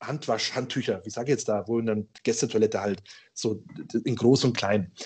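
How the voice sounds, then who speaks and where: A man with a slight Bavarian accent speaks in a somewhat breathy voice. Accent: slight Ingolstadt Bavarian dialect. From Ingolstadt, Bavaria. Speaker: IT company owner. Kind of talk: casual storytelling.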